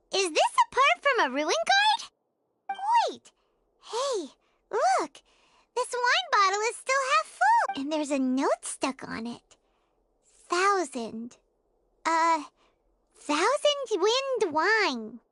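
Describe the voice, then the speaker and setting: A put-on character voice, squeaky and extremely high-pitched, swings very widely in pitch. It moves at a very slow pace with long, frequent pauses. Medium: video game. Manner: bright, eager.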